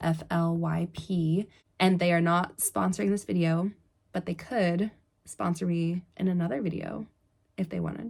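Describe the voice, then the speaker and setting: Fairly low pitch and a somewhat breathy quality in a woman's voice, at a moderate pace with ordinary pitch variation. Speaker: online clothing reseller. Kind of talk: casual vlog talk.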